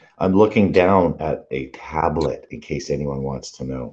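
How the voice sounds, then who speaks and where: With an American accent, the intonation comes across as lively. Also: man. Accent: sounds more American than other Canadians. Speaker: live stream host. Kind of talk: casual chat. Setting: live stream video hangout.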